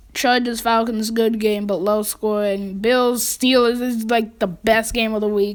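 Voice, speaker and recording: A woman talks at a fairly slow pace. Her pitch is fairly high and her intonation fairly even. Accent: American. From New York. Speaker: podcast host. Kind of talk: casual chat.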